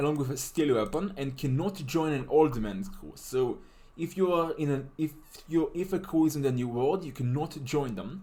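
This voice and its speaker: A fairly high-pitched man with a non-native accent and a dark, mellow tone. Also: ordinary pitch variation, moderate pace. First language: not English. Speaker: game tutorial maker. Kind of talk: tutorial. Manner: casual, halting with fillers.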